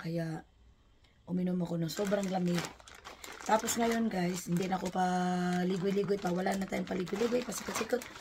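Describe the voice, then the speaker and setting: Noticeable background noise accompanies a woman speaking at a fairly quick pace. Her pitch is medium and her intonation fairly even. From Philippines. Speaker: vlogger. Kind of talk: unboxing vlog.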